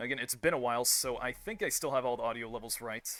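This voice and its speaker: A man's medium-pitched voice at a fairly quick pace, with music in the background. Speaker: streamer and voice actor. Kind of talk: casual gameplay stream chat. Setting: live stream at home. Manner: halting, many repeated words.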